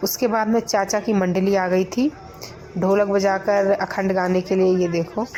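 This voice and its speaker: Amid noticeable background noise, a woman of medium pitch speaks at a fairly slow pace in a monotone, flat intonation. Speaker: vlogger. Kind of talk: vlog narration. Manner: conversational.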